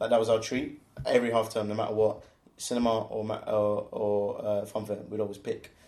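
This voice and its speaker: A man with a London accent at a fairly quick pace. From southeast London, England. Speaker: co-founder of a swim club. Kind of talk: casual chat.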